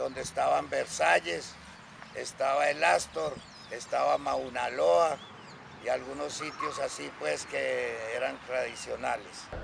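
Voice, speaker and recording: A man talks at a very slow pace while noticeable background noise runs beneath him. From Colombia, Antioquia (Anorí, Carolina del Príncipe). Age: 60s. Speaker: interviewee, former student. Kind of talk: interview testimony. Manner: halting, self-correcting.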